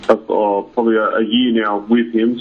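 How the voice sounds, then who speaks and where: A man with an Australian accent, fairly low-pitched and monotone with flat intonation, amid noticeable background noise. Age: 30s. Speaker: professional boxer. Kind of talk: interview. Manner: halting.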